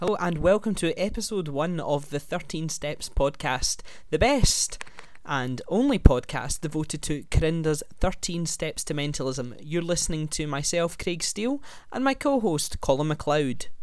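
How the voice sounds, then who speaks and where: A man with a Glaswegian accent speaks at a fairly slow pace, his high voice carrying lively intonation. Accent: Glaswegian Scottish. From Scotland, Glasgow. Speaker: podcast host, student and actor. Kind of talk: casual chat.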